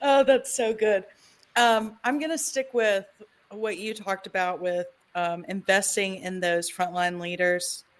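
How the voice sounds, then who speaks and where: With a Southern US accent, a woman speaks at a fairly slow pace. Her pitch is medium, with ordinary pitch variation. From US South, Tennessee. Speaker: podcast host. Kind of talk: casual interview chat.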